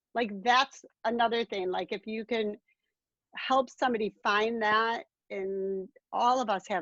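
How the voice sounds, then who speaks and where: The sound is dry and close, with no echo, over a quiet background. The pace is fairly slow. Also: woman. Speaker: artist. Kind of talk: casual chat. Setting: video call. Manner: animated.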